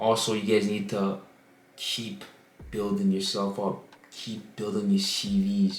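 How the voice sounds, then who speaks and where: A man's fairly low voice, flat and monotone, with long, frequent pauses and audible room echo. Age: 20s. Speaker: amateur footballer and university student. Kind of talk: personal story vlog. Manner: casual, conversational.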